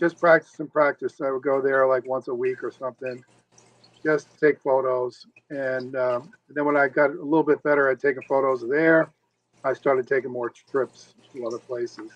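A man talks at fairly high pitch and a moderate pace. His intonation is monotone and flat. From Rhode Island, US Northeast. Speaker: author and turtle zoo documenter. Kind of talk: podcast interview.

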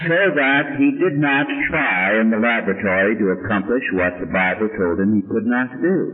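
With audible room echo and noticeable background noise, a man talks at a moderate pace with medium pitch, lively intonation and very even loudness. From US (Armenian-American background). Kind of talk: lecture with Q&A.

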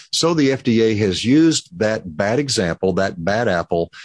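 Here is a plain, everyday voice with an American accent. The intonation is lively, and the sound is dry and close with no echo. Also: man. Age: 60s. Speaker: pharmacist. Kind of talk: interview.

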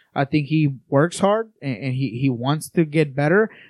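Against a quiet background, a man with a Spanish accent and a fairly high voice speaks fairly slowly with ordinary pitch variation, the sound dry and close with no echo. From Colombia, Bogota. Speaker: soccer writer and scout analyst. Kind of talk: casual podcast chat. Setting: studio.

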